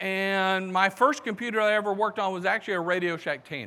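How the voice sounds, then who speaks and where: A high-pitched man with a Southern US accent, raised and projected, bright and sharp in tone, at a moderate pace. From US South, South Carolina. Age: 60s. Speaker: conference speaker. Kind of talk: conference talk.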